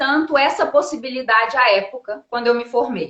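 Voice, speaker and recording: A woman is speaking. Her intonation is lively. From Brazil. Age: 30s. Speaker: diplomat. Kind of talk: interview on live stream.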